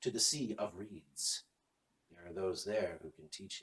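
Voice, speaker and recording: Here a man performs a put-on character voice. The pitch stays fairly low. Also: moderate pace. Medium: read story. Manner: menacing, fanatical.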